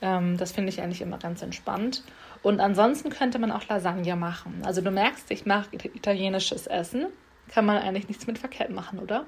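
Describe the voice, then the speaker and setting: A woman speaks in an ordinary speaking voice at medium pitch. She moves at a fairly quick pace with ordinary pitch variation. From Hamburg area, Germany. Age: 20s. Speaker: student. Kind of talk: casual chat; voice message self-introduction.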